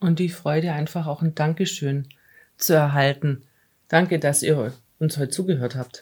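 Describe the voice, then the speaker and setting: Speaking at a moderate pace with long, frequent pauses, a woman uses a very deep, low, somewhat breathy voice and fairly even intonation. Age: 50s. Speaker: city administration employee, post-covid patient. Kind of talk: casual interview.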